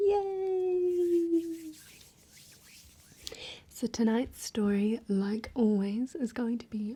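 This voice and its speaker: In a New Zealand accent, a woman speaks at a very slow pace in a high pitch, her tone dark, mellow and gentle, with very wide pitch swings. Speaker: ASMR artist. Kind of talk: cozy ASMR roleplay talk to viewer. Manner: soft-spoken, gentle.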